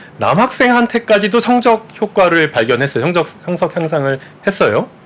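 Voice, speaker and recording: Here a man speaks fairly slowly. His pitch rises and falls very widely. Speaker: economics professor. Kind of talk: interview. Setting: studio. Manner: gentle.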